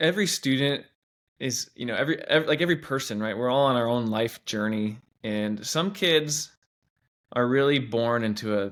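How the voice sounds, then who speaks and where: In a very clean recording with a silent background, a man with an American accent speaks at a moderate pace, his medium pitch showing ordinary variation. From US Pacific Northwest (Washington State). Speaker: teacher. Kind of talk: interview.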